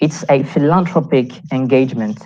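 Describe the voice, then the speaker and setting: A woman speaks with a French accent at a fairly slow pace. Her very deep, low pitch carries a dark, mellow tone and lively intonation. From Réunion Island. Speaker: youth delegate. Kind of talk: conference talk. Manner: halting.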